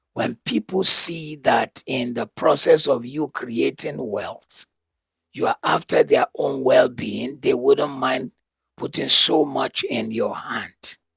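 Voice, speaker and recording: A very slow-speaking man, the sound dry and close with no echo. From Nigeria. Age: 70s. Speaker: motivational speaker. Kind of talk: lecture. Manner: repetitive, emphatic.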